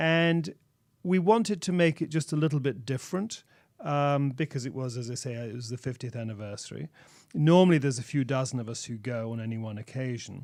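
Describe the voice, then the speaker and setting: A man with an English accent, medium pitch, lively intonation and a fairly quick pace, in a very clean recording with a silent background. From England. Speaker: religious minister. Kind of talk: radio interview. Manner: halting.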